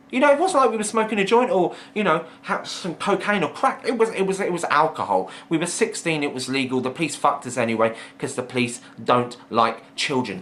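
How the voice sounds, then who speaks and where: Over noticeable background noise, a man talks at a fairly quick pace with a fairly high pitch and very wide pitch swings. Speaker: vlogger. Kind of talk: casual storytelling monologue. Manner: fast; animated.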